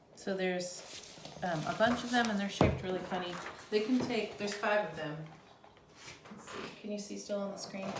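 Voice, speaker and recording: A woman at medium pitch speaks at a fairly quick pace, broken by long, frequent pauses, with fairly even intonation and big swings in loudness. Audible room echo and noticeable background noise fill the recording. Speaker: chemistry teacher. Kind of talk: tutorial. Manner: fast.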